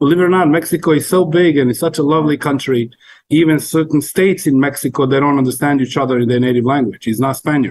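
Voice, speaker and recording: Very even in loudness, a man talks at a very fast pace in a fairly high pitch. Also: ordinary pitch variation. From Montenegro. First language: Montenegrin. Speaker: cook. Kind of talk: casual chat.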